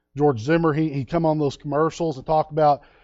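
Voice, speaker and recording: Over music in the background, a man with a fairly high pitch speaks in an animated tone. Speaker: preacher. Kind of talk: sermon.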